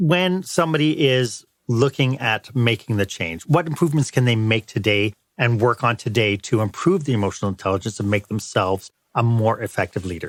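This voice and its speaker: Recorded very clean with a silent background and a dry, close sound with no echo, a man with an ordinary speaking voice talks at a fairly quick pace and medium pitch with lively intonation. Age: 60s. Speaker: podcast host. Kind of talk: interview.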